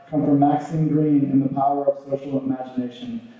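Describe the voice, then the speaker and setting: Strong room echo surrounds a man who talks at a very fast pace in a monotone, flat intonation. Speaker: event host. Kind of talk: formal introduction. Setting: stage with audience. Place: hall. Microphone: podium.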